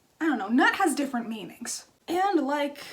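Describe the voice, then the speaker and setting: A woman's high pitch and lively intonation at a moderate pace, with audible room echo. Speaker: craft youtuber. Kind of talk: casual vlog storytelling. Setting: home.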